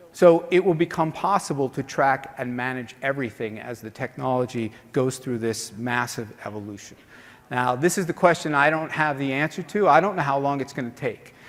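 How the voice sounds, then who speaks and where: A man speaks in a New York accent at a fairly high pitch. His pitch variation is ordinary. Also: fairly quick pace. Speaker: conference organizer and speaker. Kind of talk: conference keynote talk. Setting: stage with audience. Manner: fast.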